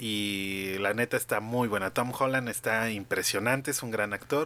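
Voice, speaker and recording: A man with a Mexican accent, medium in pitch, with a bright, sharp tone and a fairly slow pace, in a very clean recording with a silent background. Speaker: podcast host. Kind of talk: casual chat.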